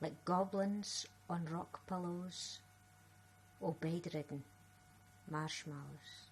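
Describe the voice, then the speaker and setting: Speaking at a very slow pace with a Scottish accent, a woman uses a medium pitch, ordinary pitch variation and a somewhat breathy delivery. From Scotland. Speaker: writer and spoken word performer. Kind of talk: poetry reading.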